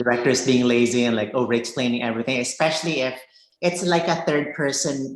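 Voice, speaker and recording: A woman with a very deep, low pitch speaks at a fairly quick pace with ordinary pitch variation, and audible room echo surrounds her voice. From Philippines. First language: Cebuano. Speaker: filmmaker. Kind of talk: interview. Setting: video call.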